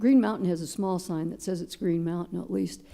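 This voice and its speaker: Normal pitch movement marks a woman's dark, mellow tone. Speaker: advisory board member. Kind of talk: board meeting discussion.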